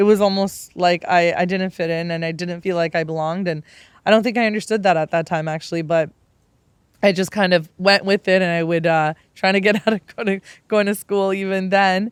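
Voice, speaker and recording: In a very clean recording with a silent background, a woman with a Canadian accent speaks at a moderate pace, using a medium pitch and fairly even intonation. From Canada (Tamil family, arrived age six). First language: Tamil. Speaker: podcast host. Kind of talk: personal storytelling monologue.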